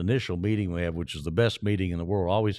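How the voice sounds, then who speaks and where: Very deep and low in pitch, a man speaks with ordinary pitch variation on a very clean recording with a silent background. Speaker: stadium public address announcer. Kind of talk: casual interview answer about promotional giveaways.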